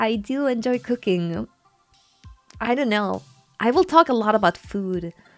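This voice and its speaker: Over music in the background, a woman speaks at a moderate pace in a fairly high pitch with lively intonation. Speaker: horror vtuber and ASMR artist. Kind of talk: casual talk to camera, vtuber debut stream. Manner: chatty, repeats phrases.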